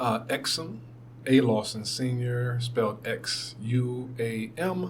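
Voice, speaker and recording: With an American accent, a man speaks at a medium pitch with fairly even intonation, amid noticeable background noise and audible room echo. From Brooklyn, New York and Athens, Georgia. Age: 50s. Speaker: radio program director. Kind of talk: oral history interview. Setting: radio station studio. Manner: halting, many fillers.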